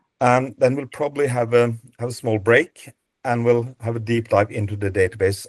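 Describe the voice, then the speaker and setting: A man with a non-native accent, medium pitch, and fairly even intonation in a dry, close sound with no echo. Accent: non-native, mispronunciations. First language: Norwegian. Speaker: database co-founder, dog breed presenter. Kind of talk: webinar presentation. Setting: video call webinar. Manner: halting, many fillers and repeats.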